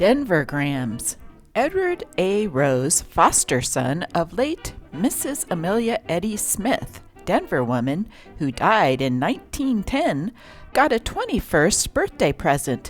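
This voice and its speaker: Over music in the background, a voice with an upbeat, playful tone makes very wide pitch swings at a very slow pace. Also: woman, medium pitch for a woman. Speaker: newspaper reader. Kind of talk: vintage newspaper reading.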